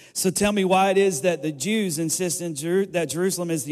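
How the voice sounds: This is a natural reading voice. Its intonation stays fairly even.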